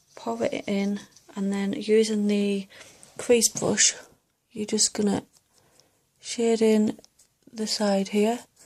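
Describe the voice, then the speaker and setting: Soft-spoken and monotone, with flat intonation, the voice moves at a very slow pace with long, frequent pauses. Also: woman, fairly high pitch for a woman. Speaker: makeup seller and beauty vlogger. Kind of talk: tutorial.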